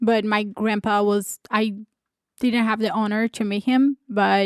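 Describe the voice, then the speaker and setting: Her pitch fairly high and her intonation monotone and flat, a woman talks at a fairly slow pace in a dry, close sound with no echo. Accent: Brazilian. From Brazil. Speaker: podcast co-host. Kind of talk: casual chat.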